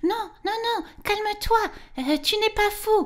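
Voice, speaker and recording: A woman puts on a squeaky character voice with an extremely high pitch, speaking at a fairly slow pace. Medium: read story.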